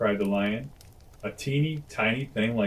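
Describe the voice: Reading aloud, plain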